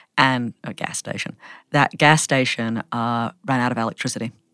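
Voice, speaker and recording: A woman's very deep, low voice with an American accent, monotone and flat, dry and close with no echo, on a very clean recording with a silent background. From Australia. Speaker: anthropologist. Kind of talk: interview conversation.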